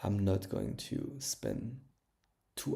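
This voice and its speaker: A man speaks with a French accent. His pace is very slow. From France. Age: 20s. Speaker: language learner streamer. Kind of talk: casual livestream chat. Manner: halting, many fillers.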